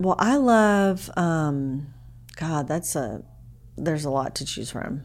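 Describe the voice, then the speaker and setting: There is audible room echo as a woman talks with lively intonation. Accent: Texan. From Dallas, Texas. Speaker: real estate agent. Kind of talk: casual chat.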